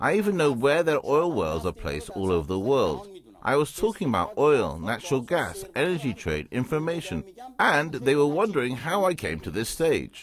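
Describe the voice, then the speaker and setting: Pitch swings very widely at a moderate pace. Noticeable background noise sits under the voice. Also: man, fairly high pitch for a man. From Iran. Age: 50s. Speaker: businessman. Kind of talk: TV interview.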